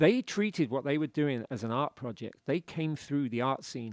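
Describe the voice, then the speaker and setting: At a moderate pace, a speaker with a British accent comes through with a dry, close sound and no echo. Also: man. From UK. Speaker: author. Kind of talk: casual chat.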